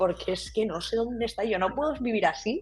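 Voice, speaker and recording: Amid noticeable background noise, a woman speaks fairly quickly at a fairly high pitch with lively intonation. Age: 30s. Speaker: brand designer. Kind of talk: casual interview.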